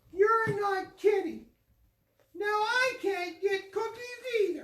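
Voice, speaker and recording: A female-sounding put-on character voice, extremely high in pitch, at a very slow pace. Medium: read story. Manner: cranky, impatient.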